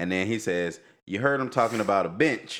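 A man at a moderate pace and fairly low pitch, with lively intonation, on a very clean recording with a silent background. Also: fairly bright tone.

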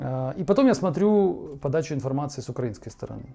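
Dark, mellow tone with lively intonation at a moderate pace. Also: man. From Ukraine. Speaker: podcast host. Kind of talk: monologue commentary. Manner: halting.

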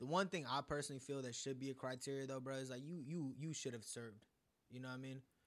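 Using an ordinary speaking voice, a man holds a medium pitch with fairly even intonation. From US, born in India. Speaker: musician. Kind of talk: casual chat.

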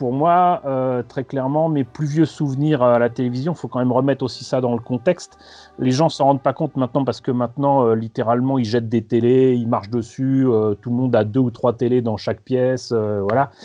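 In a dark, mellow tone, a man talks at a medium pitch with fairly even intonation. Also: moderate pace. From France, Paris. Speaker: magazine co-founder. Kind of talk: interview. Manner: hesitant, many fillers and repetitions.

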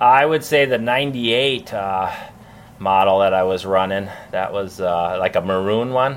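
A man's unremarkable speaking voice, fairly low-pitched, at a fairly slow pace with ordinary pitch variation and an American accent. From Minnesota, US Midwest. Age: 40s. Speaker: professional BMX flatland rider. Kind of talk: casual interview.

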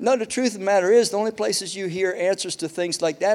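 The recording is very clean, with a silent background. On it, a man talks. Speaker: pastor. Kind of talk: sermon. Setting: church service with congregation. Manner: conversational, jokes with audience. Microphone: new mic making whistling noises.

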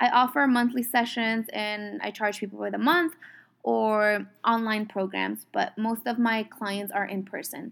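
On a very clean recording with a silent background, a woman with a fairly high pitch speaks at a fairly slow pace with ordinary pitch variation. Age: 20s. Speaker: podcast host and coach. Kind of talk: casual monologue. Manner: animated.

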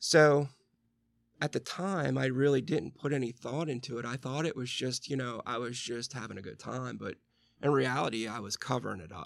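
This very clean recording has a silent background. A man with an American accent speaks with vocal fry and ordinary pitch variation. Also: medium pitch for a man, moderate pace. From Western Pennsylvania. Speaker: recovering alcoholic. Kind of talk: interview.

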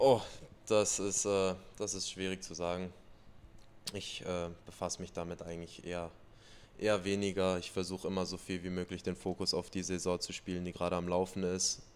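A man's very deep, low voice, monotone and flat, at a moderate pace with long, frequent pauses. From western Germany, Ruhr area. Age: 20s. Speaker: ice hockey player. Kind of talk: interview.

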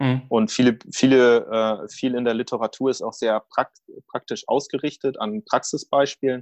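This man talks at a moderate pace, his medium-pitched voice keeping a fairly even intonation. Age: 30s. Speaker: project manager. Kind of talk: interview. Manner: halting.

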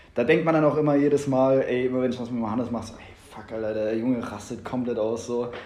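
Audible room echo carries a man's medium-pitched voice. He talks at a very fast pace with fairly even intonation. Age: 20s. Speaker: podcast host. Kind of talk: casual chat.

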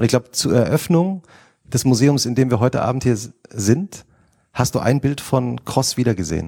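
A man's somewhat breathy, dark and mellow voice at medium pitch, with lively intonation and a moderate pace, dry and close with no echo on a very clean recording with a silent background. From Hesse. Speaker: magazine editor and moderator. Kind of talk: on-stage interview. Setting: stage with audience.

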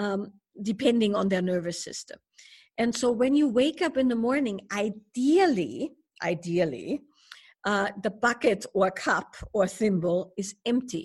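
A woman's fairly high, somewhat breathy voice with lively intonation at a fairly slow pace. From Germany. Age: 50s. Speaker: spiritual teacher and author. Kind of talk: interview conversation.

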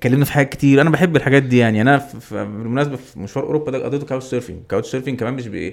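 A man rushes along at a very fast pace with hardly any pauses and ordinary pitch variation. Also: medium pitch for a man. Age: 30s. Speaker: adventurer who cycled and ran across Egypt. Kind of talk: casual chat. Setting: studio.

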